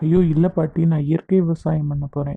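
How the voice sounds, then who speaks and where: A female-sounding cartoonish character voice sits very deep and low in pitch. It moves at a fairly slow pace with monotone, flat intonation. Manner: scolding, teasing.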